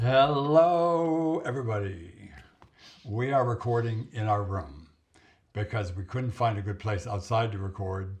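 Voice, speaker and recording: Booming and somewhat breathy, a man speaks at a fairly slow pace with lively intonation. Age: 70s. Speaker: vlogger. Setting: hotel room. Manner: soft-spoken.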